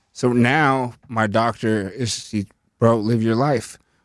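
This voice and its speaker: A man with an American accent speaks at a medium pitch with fairly even intonation in an unremarkable speaking voice, on a very clean recording with a silent background. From Northern California, Lake County. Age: 30s. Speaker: rapper. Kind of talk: casual podcast interview.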